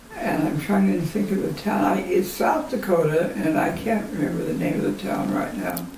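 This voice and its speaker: With audible room echo and light background noise, a woman talks at a moderate pace with hardly any pauses. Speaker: grandmother telling family history. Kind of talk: oral history interview answer. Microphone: camera far.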